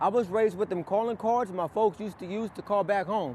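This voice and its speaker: With ordinary pitch variation, a man delivers his words at a fairly quick pace. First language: Spanish. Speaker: poet. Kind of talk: spoken word poetry performance. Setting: outdoors in a park.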